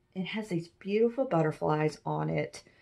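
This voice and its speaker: In a quiet setting, a woman speaks with a very deep, low pitch. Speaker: antiques reseller. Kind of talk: casual haul video chat. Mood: enthusiastic, cheerful. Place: home room. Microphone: phone near.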